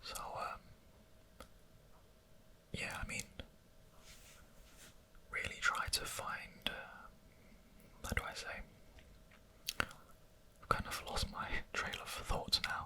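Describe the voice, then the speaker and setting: Someone whispers in a relaxed tone at a very slow pace, with long, frequent pauses. Noticeable background noise runs underneath. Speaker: ASMR content creator. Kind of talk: whispered ASMR talk to camera about creativity and time. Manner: whispering, relaxed, hesitant with many fillers.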